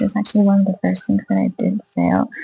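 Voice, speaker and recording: A woman speaks in a flat monotone, with a dry, close sound and no echo, as music plays in the background. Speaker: small craft seller, video blogger. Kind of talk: casual vlog. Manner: soft-spoken; hesitant, many fillers. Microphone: poor audio.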